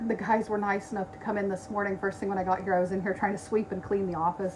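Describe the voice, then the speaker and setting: Noticeable background noise sits under this recording. A woman speaks at a medium pitch with fairly even intonation. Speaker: animal shelter worker. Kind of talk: live stream update. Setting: Facebook live video at the shelter. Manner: casual, many fillers.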